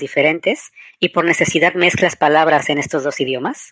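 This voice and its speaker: This woman's pitch rises and falls in a typical way as she talks rather briskly. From Mexico. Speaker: podcast co-host. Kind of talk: personal storytelling.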